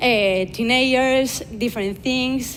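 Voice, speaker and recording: The speaker has a Spanish accent. Audible room echo fills the recording. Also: woman. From Basque Country, Spain (Vitoria). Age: 20s. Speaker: influencer and speaker. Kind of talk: conference talk. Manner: halting, many fillers.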